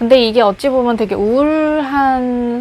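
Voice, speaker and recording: This woman speaks with ordinary pitch variation. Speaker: recent graduate job seeker. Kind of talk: casual personal monologue to camera. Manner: rambling, conversational.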